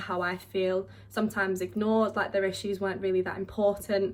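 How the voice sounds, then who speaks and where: Very fast speech in a southern English accent, with monotone, flat intonation. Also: woman. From southeast England, Kent. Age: 20s. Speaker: vlogger, drama student. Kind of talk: casual vlog monologue.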